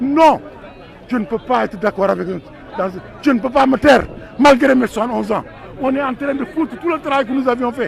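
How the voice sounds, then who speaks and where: Over crowd noise in the background, a man with an extremely high voice talks at a fairly quick pace with ordinary pitch variation, leaving long, frequent pauses. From Senegal (Thiès). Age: 70s. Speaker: retired politician, activist. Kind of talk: protest speech. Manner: impassioned, emphatic; halting repetitions.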